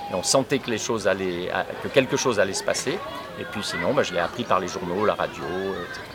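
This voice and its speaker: Against crowd noise in the background and audible room echo, a man talks at a fairly quick pace. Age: 60s. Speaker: teacher. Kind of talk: interview. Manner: halting.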